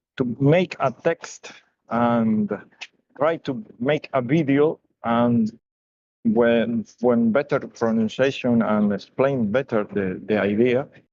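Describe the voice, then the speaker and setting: Speaking at a very slow pace with very even loudness, a man with a non-native accent uses a medium pitch, recorded with a dry, close sound and no echo. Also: ordinary pitch variation. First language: not English. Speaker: community member. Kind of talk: open mic comment. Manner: halting.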